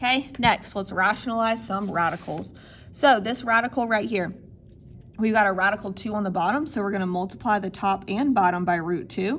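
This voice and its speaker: A woman with an ordinary speaking voice at a fairly quick pace, medium in pitch with ordinary pitch variation, against a quiet background. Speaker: math teacher. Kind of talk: tutorial.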